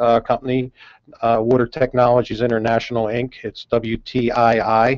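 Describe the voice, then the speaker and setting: A Northeastern US accent in a dry, close sound with no echo. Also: man. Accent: Northeast US. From US Northeast, outside Philadelphia. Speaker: company CEO. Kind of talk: radio interview. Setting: studio.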